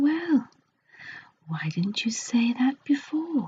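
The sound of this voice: In a put-on character voice, a woman speaks slowly at a high pitch with big pitch swings, a husky, rough edge and a slightly mellow tone.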